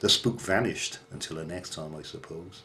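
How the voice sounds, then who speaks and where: A man talks with a Welsh accent. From Wales. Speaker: horror storyteller. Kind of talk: ghost story narration. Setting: home bedroom.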